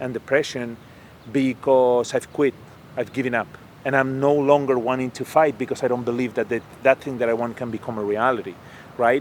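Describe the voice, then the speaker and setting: A man talks with monotone, flat intonation. Noticeable background noise is present. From Spain. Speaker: sales trainer and public speaker. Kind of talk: interview answer.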